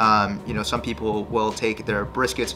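At a moderate pace, a man speaks with faint music in the background. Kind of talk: casual vlog chat. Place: home room.

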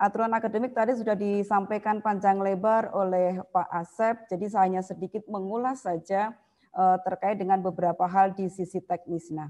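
A woman's dark, mellow tone at a fairly quick pace, with fairly even intonation. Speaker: university academic administrator. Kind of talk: online presentation. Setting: video call. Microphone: video call.

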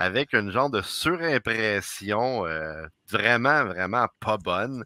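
Dry with no echo against a quiet background, a man with a Quebec accent speaks at a very slow pace in a bright, sharp tone with very wide pitch swings. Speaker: podcast co-host. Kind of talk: casual chat. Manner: animated. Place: home room. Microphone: headset.

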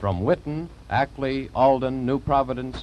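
Light background noise is present. Over it, a man talks at a moderate pace. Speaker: program introducer narrator. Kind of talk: broadcast narration. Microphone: old recording.

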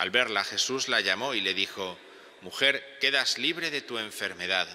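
With a bright, sharp tone, a man talks at a fairly low pitch and a moderate pace, using ordinary pitch variation.

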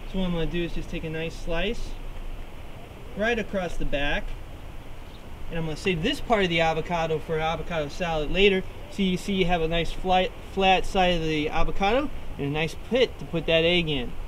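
Speaking at a fairly quick pace with ordinary pitch variation, the voice breaks into long, frequent pauses over light background noise. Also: man, high pitch for a man. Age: 40s. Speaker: cooking show host. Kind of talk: cooking demonstration. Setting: outdoors. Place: beach.

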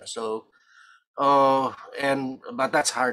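Fairly high in pitch, this man's voice has a bright, sharp tone. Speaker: audience member, academic; audience member. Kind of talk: Q&A question. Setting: video call. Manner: halting. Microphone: video call.

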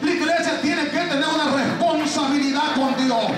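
A man's voice with audible room echo and clear music in the background. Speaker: pastor preaching. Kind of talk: sermon. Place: hall.

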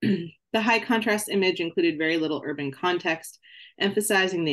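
Against a quiet backdrop, the words come out at a fairly quick clip. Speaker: candidate. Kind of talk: lecture. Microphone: video call.

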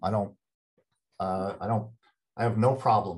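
Over a quiet background, a man with an American accent talks at a fairly quick pace in a fairly low, somewhat breathy voice. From United States. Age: 60s. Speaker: retired professor. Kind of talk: interview conversation. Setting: video call. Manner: halting. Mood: candid, personal. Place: home room. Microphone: video call.

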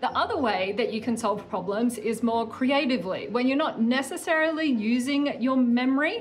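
Over faint music in the background, a woman with a high pitch speaks at a moderate pace with hardly any pauses. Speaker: remote guest. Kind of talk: explainer to kids. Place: home room. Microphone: phone near.

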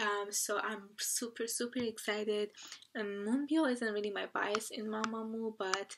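Over noticeable background noise, a woman with a fairly high pitch speaks at a fairly slow pace with fairly even intonation. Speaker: K-pop reaction youtuber. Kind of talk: reaction video monologue. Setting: at home at night. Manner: hesitant, many fillers. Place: home room. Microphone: webcam.

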